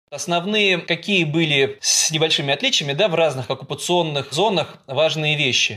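A man's bright, sharp, fairly high-pitched voice at a moderate pace, with very even loudness and hardly any pauses, on a very clean recording with a silent background. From Russia, Saint Petersburg. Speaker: historian and journalist. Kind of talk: interview.

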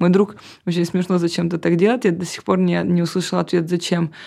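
Over a very clean recording with a silent background, a woman speaks at a fairly quick pace in a fairly low pitch. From Russian Far East, Vladivostok. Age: 30s. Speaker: agency partner and blogger. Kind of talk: casual interview.

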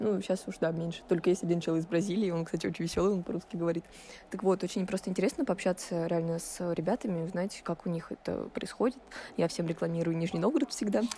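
Her pitch fairly low and its variation ordinary, a woman talks very fast. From Russia, Nizhny Novgorod. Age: 18. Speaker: first-year university student. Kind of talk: casual interview.

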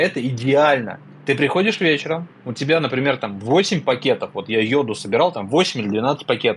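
A man with a fairly high pitch talks at a moderate pace in a normal speaking voice. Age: 30s. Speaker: podcast co-host. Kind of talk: casual chat.

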